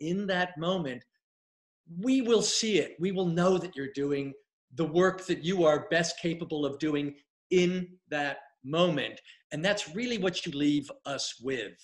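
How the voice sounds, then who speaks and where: With an American accent, a man speaks at a fairly slow pace in a high pitch with ordinary pitch variation against a quiet background. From US. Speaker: casting director and acting coach. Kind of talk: live Q&A interview. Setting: livestream video. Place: home room. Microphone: webcam.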